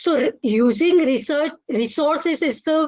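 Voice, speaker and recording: A woman's lively intonation at a fairly slow pace. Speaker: materials science researcher. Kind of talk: presentation talk. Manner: halting.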